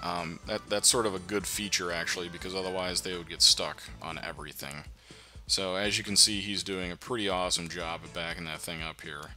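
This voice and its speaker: A man with a very deep, low voice and a bright, sharp tone speaks fairly quickly with vocal fry, ordinary pitch variation, and big swings in loudness. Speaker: gaming YouTuber. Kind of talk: let's play tutorial commentary. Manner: casual, hesitant with many fillers.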